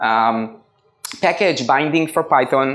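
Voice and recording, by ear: With a fairly bright tone, a man talks using ordinary pitch variation.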